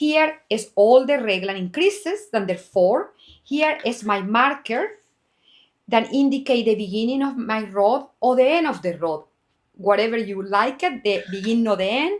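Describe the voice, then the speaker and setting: A woman with a plain, everyday voice speaks at a fairly high pitch and a moderate pace. Her intonation is lively, and the recording is very clean with a silent background. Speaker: knitwear designer. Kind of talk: tutorial.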